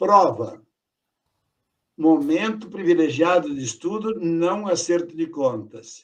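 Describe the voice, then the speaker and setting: A man with a high-pitched voice speaks at a very slow pace, leaving long, frequent pauses. His intonation is lively. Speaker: education lecturer. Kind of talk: talk wrap-up. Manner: light, easy delivery.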